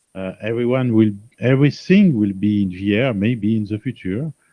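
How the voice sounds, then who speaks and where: A man with a French accent talks at a fairly slow pace in a medium pitch. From France. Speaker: software engineer and presenter. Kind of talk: presentation. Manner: hesitant, searching for words.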